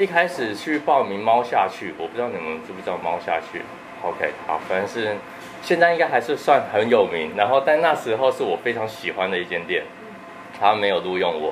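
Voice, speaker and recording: Medium-pitched male speech at a fairly quick pace, with very wide pitch swings and noticeable background noise. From Taiwan, Tianmu in Taipei. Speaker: dessert shop owner and pastry chef. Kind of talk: interview.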